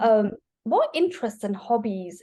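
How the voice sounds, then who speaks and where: A woman's somewhat breathy, dark, mellow voice at a fairly slow pace. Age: 40s. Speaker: webinar host. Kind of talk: webinar interview.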